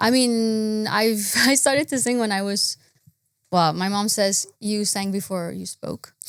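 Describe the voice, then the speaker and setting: In a Quebec accent, a woman speaks at a medium pitch with ordinary pitch variation. She keeps a fairly slow pace. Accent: French Canadian accent in English. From Quebec / French Canada. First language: French. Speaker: singer-songwriter. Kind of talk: casual interview.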